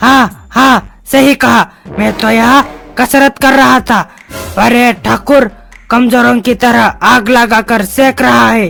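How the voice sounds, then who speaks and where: The voice is a cartoonish character voice, pitched fairly high. It moves at a fairly slow pace. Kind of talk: comic overacting. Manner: loud, bullying.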